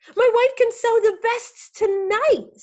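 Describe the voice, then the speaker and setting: A put-on, squeaky character voice moving rather slowly. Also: woman, extremely high pitch for a woman. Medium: read story.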